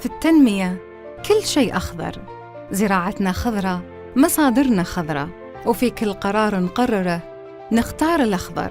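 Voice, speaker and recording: A woman speaks at a fairly slow pace. Behind her, music is playing. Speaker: voice actor. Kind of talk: TV commercial read.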